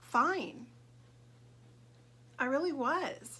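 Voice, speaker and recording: A woman's voice sounds bright and sharp, with lively intonation. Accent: American. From Southern California. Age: 60s. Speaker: vlogger. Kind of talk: personal vlog monologue. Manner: hesitant, many fillers.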